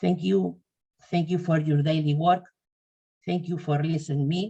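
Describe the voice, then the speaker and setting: This woman's tone is dark and mellow, with a somewhat breathy quality. She talks at a fairly slow pace. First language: Spanish. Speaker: patient association representative. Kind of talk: webinar presentation.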